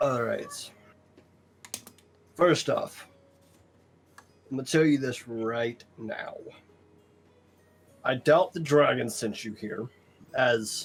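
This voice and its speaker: A man's raspy, put-on character voice at a medium pitch, very slow pace with long, frequent pauses, and music in the background. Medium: actual play. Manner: dry, skeptical.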